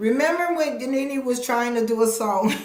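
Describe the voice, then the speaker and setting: A woman speaks with a high pitch, ordinary pitch variation and an animated tone. Her voice has audible room echo over noticeable background noise. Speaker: commentary YouTuber. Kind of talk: live stream commentary. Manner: fast.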